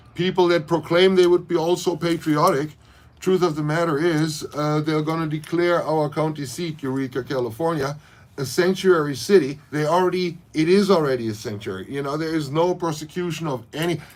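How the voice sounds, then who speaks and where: A man's fairly high voice with a German accent, ordinary pitch variation and a fairly quick pace. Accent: German accent, harsh. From Germany, Berlin. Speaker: leather maker and local political commentator. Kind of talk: livestream rant. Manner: animated.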